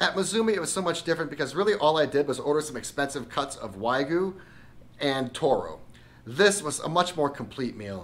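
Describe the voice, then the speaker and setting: A man's fairly high, enthusiastic voice at a fairly quick pace. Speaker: food and travel vlogger. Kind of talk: restaurant review narration.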